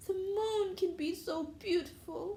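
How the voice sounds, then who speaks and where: Using a put-on character voice with an extremely high pitch, a woman speaks at a fairly slow pace over clear background noise. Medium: read story.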